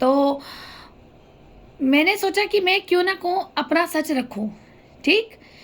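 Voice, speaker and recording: Speaking very slowly with long, frequent pauses, a woman uses an extremely high pitch and lively intonation. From north India, Haridwar, Uttarakhand. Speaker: vlogger telling her life story. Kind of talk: personal testimony monologue. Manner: emotional, emphatic.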